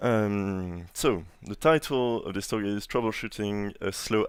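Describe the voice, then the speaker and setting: A man with a strong French accent and a fairly low-pitched voice. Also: very clean recording, silent background. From France. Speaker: conference speaker, software engineer. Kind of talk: conference talk. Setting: stage with audience. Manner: hesitant, many fillers.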